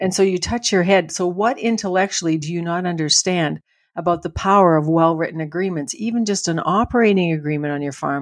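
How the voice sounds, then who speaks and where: A woman with a Canadian accent talks at a fairly quick pace with ordinary pitch variation. Her fairly low-pitched voice sits on a very clean recording with a silent background. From Manitoba, Canada. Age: 60s. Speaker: farm family transition coach and speaker. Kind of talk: interview conversation. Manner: animated.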